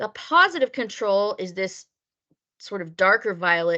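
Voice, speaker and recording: Over a quiet background, a woman with a bright, sharp tone and a medium pitch talks at a moderate pace with lively intonation. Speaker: lab instructor. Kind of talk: online lab class.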